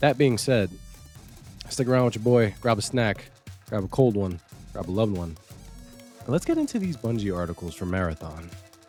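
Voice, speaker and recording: With music in the background, a man talks at a fairly quick pace broken by long, frequent pauses. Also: fairly low pitch for a man, lively intonation. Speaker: gaming news YouTuber. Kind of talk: casual talk to camera, upbeat intro.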